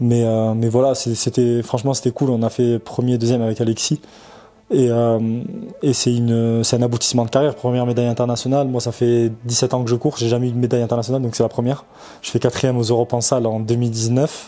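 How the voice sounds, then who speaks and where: Very fast and monotone, a man talks at medium pitch with flat intonation. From France, Toulouse. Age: 30s. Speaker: professional runner. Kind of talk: interview. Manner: halting, many fillers; casual.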